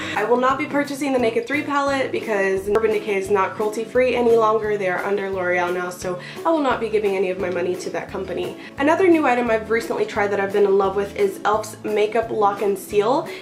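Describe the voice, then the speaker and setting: Over music in the background and audible room echo, a woman talks very fast with hardly any pauses, her fairly high voice showing ordinary pitch variation. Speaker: beauty vlogger. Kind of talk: product review vlog.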